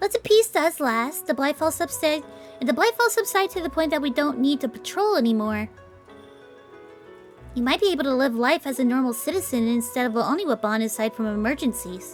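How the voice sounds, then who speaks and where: A female-sounding voice performs a put-on character voice at a fairly quick pace. Clear music plays in the background. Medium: game stream. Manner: gentle, calm, emotionless.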